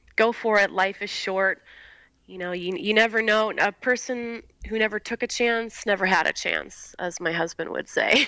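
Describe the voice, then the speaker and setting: A woman with an American accent, bright and sharp in tone at a fairly high pitch, with ordinary pitch variation and a moderate pace, in a very clean recording with a silent background. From US Midwest, Highland, Indiana. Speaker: fragrance company founder. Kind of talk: casual interview.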